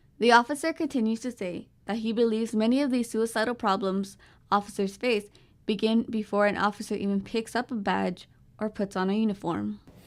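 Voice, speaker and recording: Her voice is a plain, everyday voice, a woman's at a fairly high pitch, with fairly even intonation and a fairly quick pace on a very clean recording with a silent background. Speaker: reporter. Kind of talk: TV news report.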